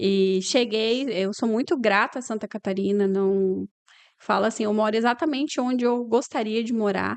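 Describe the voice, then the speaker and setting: Fairly high in pitch, a woman with a Paraná accent speaks at a moderate pace with ordinary pitch variation. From Paraná, Brazil (Umuarama, interior). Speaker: lawyer and business owner. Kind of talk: interview conversation.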